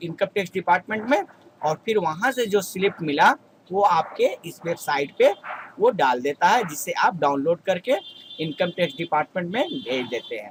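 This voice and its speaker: The man's pitch is high. His intonation is lively. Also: dry, close sound with no echo. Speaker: YouTube tutorial creator. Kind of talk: tutorial.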